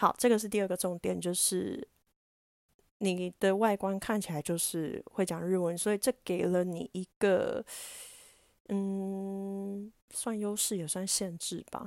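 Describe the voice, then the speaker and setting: Very slowly and with fairly even intonation, a woman speaks in a very clean, dry recording, close with no echo and a silent background. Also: medium pitch for a woman. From Taiwan. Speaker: podcast host and diving instructor. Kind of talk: casual solo talk.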